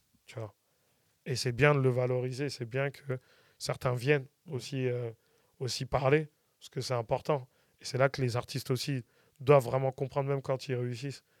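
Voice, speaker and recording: Dry and close with no echo, the voice is monotone and flat, has big swings in loudness and leaves long, frequent pauses. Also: man, medium pitch for a man, moderate pace. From France, Paris region. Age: 40s. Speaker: music producer and artist manager. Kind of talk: casual interview.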